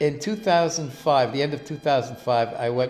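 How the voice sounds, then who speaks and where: With music in the background, a man with a New York accent speaks at a moderate pace in a fairly high pitch, his pitch varying in an ordinary way. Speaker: interviewee. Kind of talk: personal interview.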